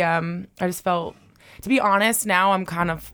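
There is noticeable background noise in this recording. A woman speaks in a fairly low pitch. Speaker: distillery representative. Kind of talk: casual chat.

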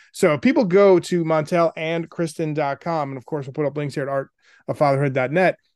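A plain, everyday voice from a man, fairly high in pitch with ordinary pitch variation and a moderate pace, dry and close with no echo against a quiet background. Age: 40s. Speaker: podcast host, former radio DJ. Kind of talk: interview.

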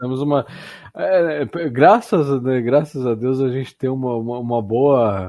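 A man speaks at medium pitch in a dark, mellow tone. His pace is fairly slow and his pitch varies in an ordinary way. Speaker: podcast co-host. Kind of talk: casual interview.

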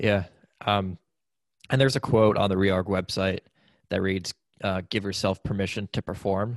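A man speaks at a moderate pace in a fairly low pitch, leaving long, frequent pauses. The background is quiet. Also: fairly even intonation. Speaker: podcast host. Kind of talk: podcast interview, scripted intro.

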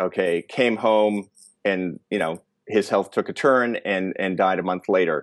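An unremarkable speaking voice from a man with fairly low pitch and fairly even intonation at a fairly slow pace, in a very clean recording with a silent background and a dry, close sound with no echo. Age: 50s. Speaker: weight loss coach and podcaster. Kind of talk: interview conversation.

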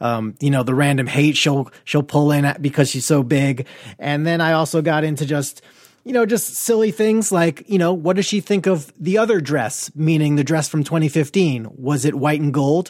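An energetic man with an American accent, fairly high pitch, ordinary pitch variation, very even loudness and a moderate pace. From New York. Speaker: podcast host. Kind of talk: casual interview.

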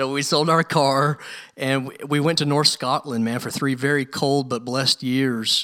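Recorded very cleanly against a silent background, a man with a fairly high pitch and a bright, sharp tone talks at a moderate pace. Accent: American. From US South, Louisville, Kentucky. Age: 30s. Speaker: professor of historical theology. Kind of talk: interview. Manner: animated.

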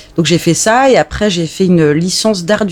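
Music plays in the background as a woman talks at a fairly slow pace. Her intonation is lively. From France, Alsace. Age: 30s. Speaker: journalist. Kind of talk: casual chat. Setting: home, cats present.

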